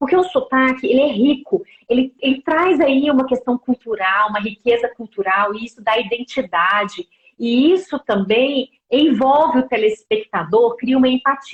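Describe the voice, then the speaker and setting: A woman with a Goiás accent speaks in a high pitch with lively intonation, her sound dry and close with no echo. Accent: Goiás Brazilian Portuguese, drawn-out vowels. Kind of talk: professional, explanatory.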